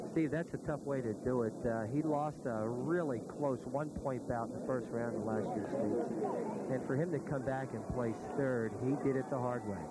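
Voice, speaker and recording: A man talks with hardly any pauses and ordinary pitch variation, his voice dry with no echo, against loud background noise. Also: moderate pace. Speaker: color commentator. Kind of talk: sports commentary.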